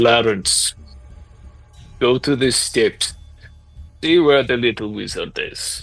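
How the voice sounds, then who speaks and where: A man uses a put-on character voice at medium pitch, speaking at a fairly slow pace with long, frequent pauses. Music plays in the background. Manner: gruff, commanding.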